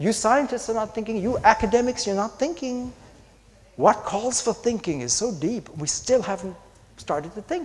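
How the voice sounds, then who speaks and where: A man's pitch swings very widely as noticeable background noise continues. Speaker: philosophy professor. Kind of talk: conference lecture. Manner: fast; animated.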